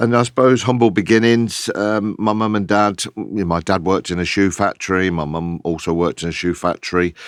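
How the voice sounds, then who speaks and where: A man with an English Midlands accent, at a fairly quick pace with ordinary pitch variation. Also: fairly low pitch for a man, quiet background. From Kettering, Northamptonshire, England. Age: 60s. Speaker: DJ and record label founder. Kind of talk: podcast interview.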